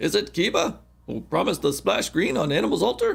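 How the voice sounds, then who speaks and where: In a put-on character voice, a man delivers his lines at a fairly quick pace. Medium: game stream. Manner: reverent, superstitious.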